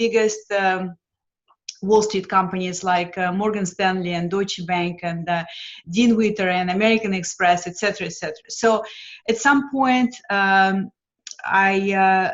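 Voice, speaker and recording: A woman with a Lithuanian accent, medium pitch, fairly even intonation and a fairly slow pace. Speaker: financial mentor. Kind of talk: interview. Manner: hesitant with frequent fillers.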